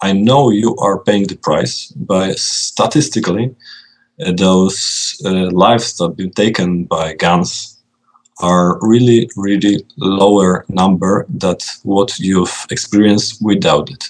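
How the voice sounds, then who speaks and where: A man speaks at a very slow pace with a Polish accent. His pitch sits fairly low. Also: ordinary pitch variation. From Poland. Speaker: video game designer. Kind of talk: interview.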